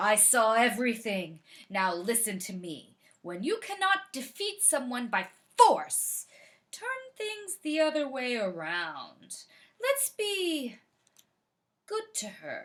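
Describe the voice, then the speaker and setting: A woman puts on a character voice, high-pitched with very wide pitch swings, at a fairly slow pace. She leaves long, frequent pauses in a very clean recording with a silent background. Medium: read story. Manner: smooth, sly.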